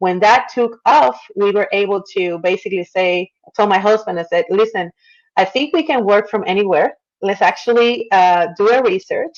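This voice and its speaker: A woman in a Puerto Rican accent speaks at a medium pitch and moderate pace, her intonation lively and her loudness very even. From Puerto Rico. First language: Spanish. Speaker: marketer and former attorney. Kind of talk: interview.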